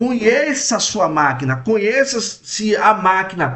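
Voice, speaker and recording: A man speaks with a high-pitched voice. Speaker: radiology technologist and teacher. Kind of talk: lecture. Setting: live stream.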